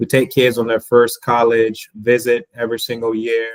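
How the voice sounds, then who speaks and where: The pace stays moderate. There is no echo, and the sound is dry and close. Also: man. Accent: Haitian. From Florida. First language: Haitian Creole. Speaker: school board candidate. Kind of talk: interview. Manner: hesitant with fillers.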